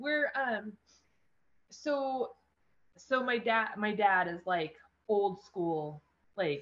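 A woman with an American accent, fairly high in pitch, lively in intonation, at a very slow pace with long, frequent pauses. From Eastern Oregon, US. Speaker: rancher and endurance horse racer. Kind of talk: casual interview.

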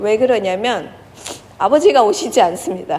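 At a moderate pace, a woman speaks in a fairly high pitch with very wide pitch swings. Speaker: pastor. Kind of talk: sermon. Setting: church.

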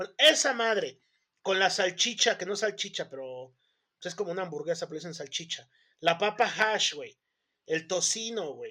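Raised and projected, a man's high voice has a bright, sharp tone and lively intonation at a moderate pace. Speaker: podcast host. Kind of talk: casual chat.

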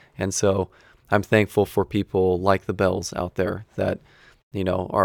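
A man with an American accent and a normal speaking voice, fairly low-pitched and fairly quick, on a very clean recording with a silent background. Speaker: sports podcast host. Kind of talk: casual chat; solo monologue intro. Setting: basement home studio.

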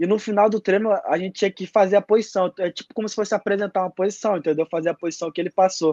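A man talking at a very fast pace, fairly even intonation, dry and close sound with no echo. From Brazil, Manaus (Amazonas). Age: 20s. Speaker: jiu-jitsu athlete. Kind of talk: casual interview. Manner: halting, many repetitions and fillers.

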